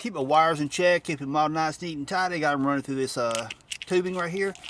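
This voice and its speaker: Light background noise sits under a dry, echo-free recording of a man talking at a very fast pace. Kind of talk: tutorial. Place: car. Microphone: phone near.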